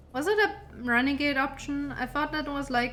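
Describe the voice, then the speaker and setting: A woman speaks with a non-native accent and ordinary pitch variation. Her pace is moderate. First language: not English. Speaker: gamer streamer. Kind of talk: let's play commentary. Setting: live stream. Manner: halting.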